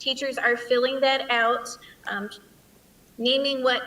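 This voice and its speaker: Noticeable background noise sits behind a woman whose intonation is monotone and flat. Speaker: school principal. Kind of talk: presentation.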